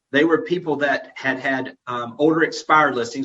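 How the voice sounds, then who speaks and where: Bright and sharp in tone, a man speaks with a Southern US accent. His pace is fairly quick and his intonation fairly even. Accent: Southern US accent, noticeable. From Florida Panhandle. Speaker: real estate executive. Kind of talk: webinar presentation. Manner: casual, folksy.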